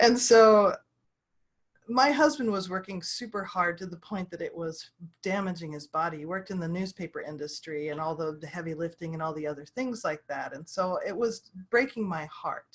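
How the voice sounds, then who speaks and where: A normal speaking voice moves at a moderate pace. It shows lively intonation and big swings in loudness. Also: woman, medium pitch for a woman. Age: 60s. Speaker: online publishing consultant. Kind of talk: interview.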